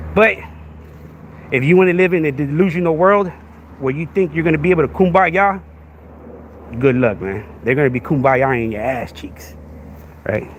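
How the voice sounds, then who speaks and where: A man speaks at a moderate pace in a fairly high pitch, with an animated tone. He leaves long, frequent pauses over noticeable background noise. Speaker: podcast host. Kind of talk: livestream rant. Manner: repetitive filler, halting.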